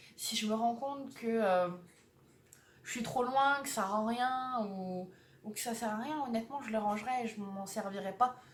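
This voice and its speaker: A woman with a fairly high pitch and ordinary pitch variation speaks fairly slowly, pausing long and often, amid noticeable background noise and audible room echo. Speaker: vlogger. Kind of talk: casual vlog.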